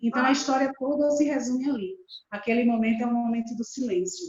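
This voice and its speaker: Ordinary pitch variation at a fairly quick pace. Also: woman. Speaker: storyteller. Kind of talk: talk on storytelling experience. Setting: video call.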